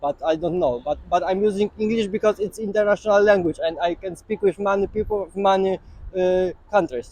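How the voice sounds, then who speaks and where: A man with a Polish accent speaks fairly quickly at a high pitch. His pitch varies in an ordinary way, and the sound is dry and close with no echo. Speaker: street interviewee. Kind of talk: street interview. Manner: halting.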